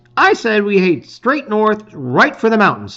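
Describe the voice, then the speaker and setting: In a put-on character voice, the speaker uses a fairly high pitch at a moderate pace. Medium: read story. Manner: impulsive.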